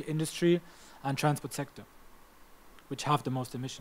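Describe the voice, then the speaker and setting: A man speaks with a German accent. His intonation stays fairly even. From Germany. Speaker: climate policy trainer. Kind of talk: training lecture. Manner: halting.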